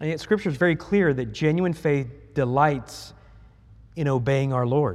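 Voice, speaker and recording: A man speaks with an American accent at a fairly high pitch. His pace is moderate and his pitch variation ordinary. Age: 50s. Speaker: pastor. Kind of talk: sermon. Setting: church.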